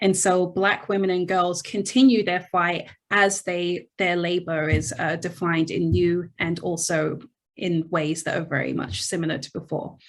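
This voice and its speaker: The speaker talks at a moderate pace in a British accent with fairly even intonation. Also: woman, fairly low pitch for a woman. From England, London. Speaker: history professor. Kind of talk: interview.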